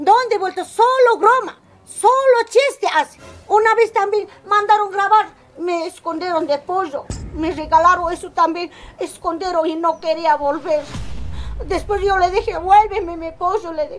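A woman at an extremely high pitch, fairly slow pace and ordinary pitch variation

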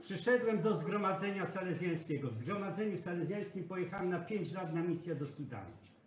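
A man's high-pitched voice at a very fast pace, with ordinary pitch variation, hardly any pauses, audible room echo and light background noise. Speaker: priest. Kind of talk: heated confrontation. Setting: indoors, filmed on camera. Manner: insistent, repetitive questioning. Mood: angry, scolding. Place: kitchen. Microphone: phone near.

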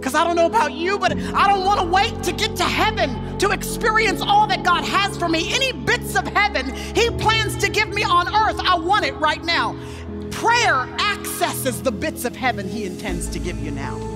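A woman speaks at a moderate pace with hardly any pauses. Clear music plays in the background. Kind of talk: sermon. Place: stage. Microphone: headset.

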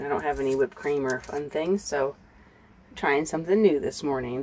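A woman's very deep, low voice at a fairly quick pace, with light background noise. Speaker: van life vlogger. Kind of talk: casual vlog chat. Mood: cheerful, smiling. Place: car.

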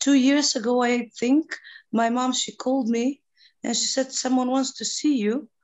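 A woman speaks with a Macedonian accent. The background is quiet. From North Macedonia. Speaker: NGO president and peace activist. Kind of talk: panel discussion. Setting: video call. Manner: halting. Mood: warm, reflective. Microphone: video call.

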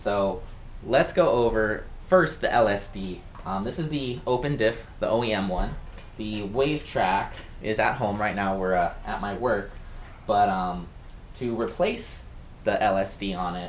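Speaking at a very slow pace with long, frequent pauses, a man with a fairly low pitch and ordinary pitch variation talks over light background noise. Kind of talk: tutorial. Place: office. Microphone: camera far.

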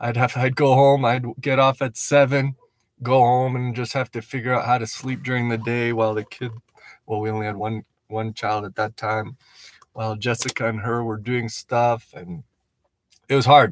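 A man talks at a moderate pace in a flat monotone, his voice dry with no echo. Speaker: missionary vlogger. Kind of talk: casual vlog chat. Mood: reflective, grateful. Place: car. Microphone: phone near.

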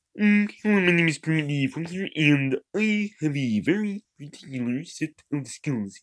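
Putting on a character voice, a man speaks at a moderate pace with a fairly high pitch, lively intonation and hardly any pauses, in a dry, close sound with no echo. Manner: gruff, menacing.

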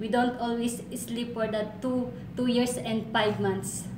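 A fairly high-pitched woman's voice over noticeable background noise. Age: 20s. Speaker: domestic helper applicant. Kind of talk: job interview. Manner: halting. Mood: earnest, eager to please. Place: office. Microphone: camera far.

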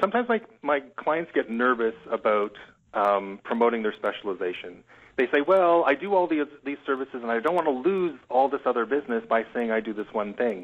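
This man has a normal speaking voice at a medium pitch. He talks at a fairly quick pace with lively intonation. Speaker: graphic and website designer. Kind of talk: webinar interview.

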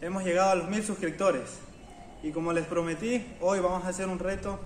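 A high-pitched man talks at a fairly quick pace with fairly even intonation, with light background noise and audible room echo. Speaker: fitness channel host. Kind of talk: motivational vlog talk. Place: garden. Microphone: camera far.

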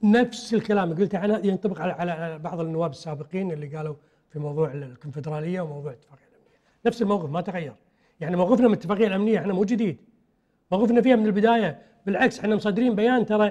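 Against a quiet background, a man with a high pitch and a dark, mellow tone speaks at a very fast pace, his intonation lively and his loudness swinging widely. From Kuwait. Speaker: politician, party secretary-general; politician. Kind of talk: political TV interview. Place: studio. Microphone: lapel.

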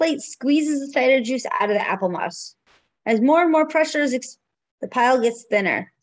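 With lively intonation, a woman speaks at a fairly quick pace in a high voice against a quiet background. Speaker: preschool teacher. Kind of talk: children's story time, reading a picture book aloud. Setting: home video recording. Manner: warm, sing-song and engaging with young children. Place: home room. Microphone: webcam.

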